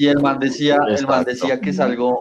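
A man talks at a moderate pace in a medium pitch. There is noticeable background noise. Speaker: podcast co-host guesting on another show. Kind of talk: casual chat.

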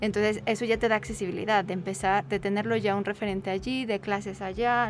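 A woman's plain, everyday voice at medium pitch with fairly even intonation. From Mexico. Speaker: social anthropologist. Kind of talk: radio interview.

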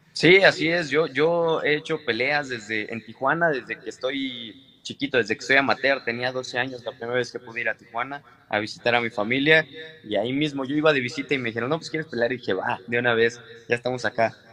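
Medium-pitched male voice at a fairly quick pace with ordinary pitch variation. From Mexico. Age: 20s. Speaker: professional boxer. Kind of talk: interview.

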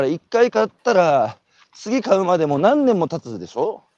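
Very wide pitch swings at a fairly slow pace. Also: man. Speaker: radio host. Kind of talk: casual chat. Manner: walking while talking.

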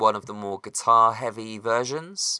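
A man speaks at a medium pitch with a West Country accent, his tone bright and sharp and his intonation fairly even, at a fairly slow pace. The sound is dry and close with no echo, and the recording is very clean over a silent background. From West Country, England. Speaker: musician. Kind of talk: casual chat. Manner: halting, many fillers.

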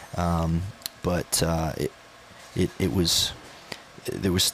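A man speaks with a very deep, low pitch and fairly even intonation. Noticeable background noise runs underneath. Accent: Southern US. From North Carolina. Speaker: student pastor. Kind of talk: casual chat. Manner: halting, many fillers and repetitions.

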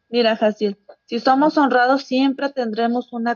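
A woman has a normal speaking voice at a fairly high pitch. Her pace is fairly slow and her intonation fairly even. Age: 40s. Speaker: congregation member. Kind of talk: Bible study.

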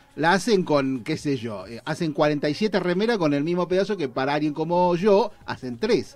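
Delivered with a Rioplatense accent, the speech moves at a fairly slow pace in an animated tone, with lively intonation and hardly any pauses. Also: man, fairly high pitch for a man. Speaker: radio show host. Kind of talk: casual chat.

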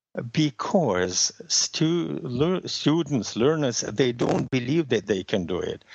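With a Russian accent, a man speaks at a very slow pace, his pitch swinging very widely. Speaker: language method creator, former interpreter. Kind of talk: interview. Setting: phone call. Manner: hesitant, many fillers.

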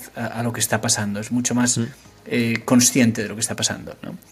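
Over noticeable background noise, a man talks in a monotone, flat intonation. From Asturias, Spain. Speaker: tech startup founder. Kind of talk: interview. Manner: halting, many fillers.

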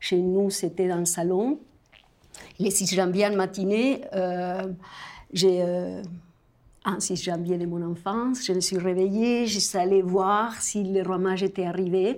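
A woman with a Spanish accent and a medium pitch talks at a very slow pace, with fairly even intonation and long, frequent pauses. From Argentina. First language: Spanish (speaking French). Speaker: storyteller. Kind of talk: casual chat.

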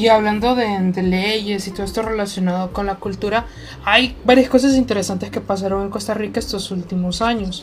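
A woman's medium-pitched voice, fairly quick in pace, against noticeable background noise. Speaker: podcast co-host. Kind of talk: casual chat.

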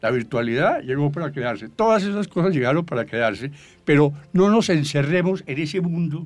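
This man's fairly high pitch moves with lively intonation at a fairly slow pace. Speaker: business executive. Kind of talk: interview. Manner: halting.

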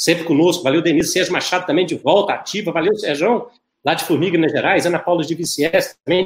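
Talking at a very fast pace, a man with a high pitch keeps his intonation fairly even. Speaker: webcast host, dentistry professor. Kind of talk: live webcast hosting. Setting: live online broadcast.

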